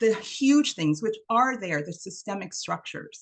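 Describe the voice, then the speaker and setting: Very wide pitch swings and a somewhat breathy voice. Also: woman. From Trinidad. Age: 50s. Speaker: diversity and inclusion trainer. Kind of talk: online workshop presentation.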